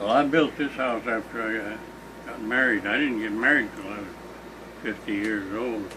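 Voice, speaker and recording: Amid noticeable background noise, a man speaks with fairly even intonation and big swings in loudness. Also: medium pitch for a man, moderate pace. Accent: American. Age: 80s+. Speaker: elderly local farmer recounting history. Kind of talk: casual chat.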